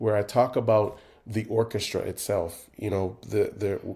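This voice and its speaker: Against a silent background in a very clean recording, a man with a Jamaican Canadian accent speaks at a moderate pace, his medium-pitched voice dark, mellow and somewhat breathy. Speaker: composer and conductor. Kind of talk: interview. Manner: hesitant, many fillers.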